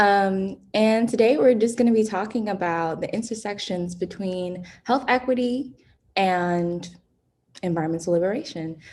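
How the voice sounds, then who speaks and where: A woman speaks at a moderate pace with an American accent, in an ordinary speaking voice. Her pitch sits in the middle, with ordinary pitch variation. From New York City, the Bronx. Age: 20s. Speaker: college student and environmental activist. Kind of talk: online presentation. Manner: casual.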